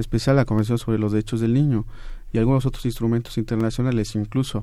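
On a very clean recording with a silent background, a man talks at a medium pitch with a dark, mellow tone. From Mexico, Oaxaca. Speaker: supreme court law clerk. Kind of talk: radio panel discussion. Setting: radio studio. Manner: halting.

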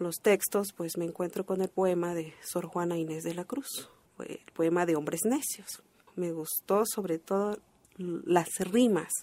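At a fairly slow pace, a woman with a Chiapas accent speaks at medium pitch with ordinary pitch variation. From Chalam del Carmen, Ocosingo, Chiapas, Mexico. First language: Tseltal (speaking Spanish). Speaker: poet. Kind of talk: pre-recorded interview segment.

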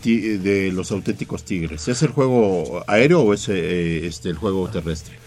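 A man's fairly low-pitched, normal speaking voice at a moderate pace, with hardly any pauses. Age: 60s. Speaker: radio sports commentator. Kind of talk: sports talk radio. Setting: radio studio.

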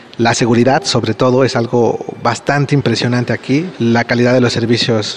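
Through noticeable background noise, a man at medium pitch talks with fairly even intonation. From Mexico. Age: 30s. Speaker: migrant giving testimony. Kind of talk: testimony.

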